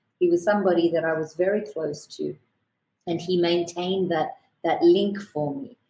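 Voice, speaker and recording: A woman's somewhat breathy, fairly low voice with a dark, mellow tone, an Australian accent, ordinary pitch variation and a moderate pace. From Australia, born in Kerala, India. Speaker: lawyer. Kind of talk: podcast interview.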